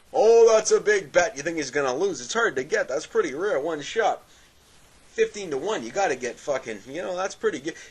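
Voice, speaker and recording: A man's high voice with very wide pitch swings and a fairly quick pace. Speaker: vlogger. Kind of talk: casual rant. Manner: stutter today; halting, repetitive.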